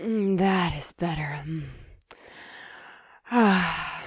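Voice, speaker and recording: A put-on character voice at a middle pitch sounds raspy and husky, with a calm tone. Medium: read story. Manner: calm, formal, seductive.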